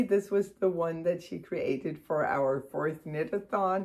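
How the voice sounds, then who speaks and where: Speaking at a fairly slow pace over a quiet background, a woman has a Danish accent. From Denmark. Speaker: knitting podcaster. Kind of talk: casual chat. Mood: cheerful, warm. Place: home room. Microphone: phone near.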